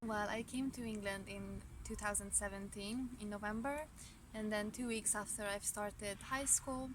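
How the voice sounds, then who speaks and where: In a Hungarian accent, a woman speaks at a moderate pace with a fairly high, somewhat breathy voice and fairly even intonation. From Romania, Hungarian-speaking family. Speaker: student. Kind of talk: interview. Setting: outdoors in a park. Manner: halting, with self-corrections.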